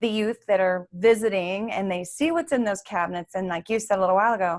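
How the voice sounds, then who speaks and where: At a fairly quick pace, a woman with an unremarkable speaking voice and medium pitch talks in a very clean recording with a silent background. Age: 60s. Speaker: interview show host. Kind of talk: interview.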